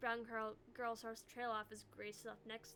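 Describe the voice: Straightforward, plain reading aloud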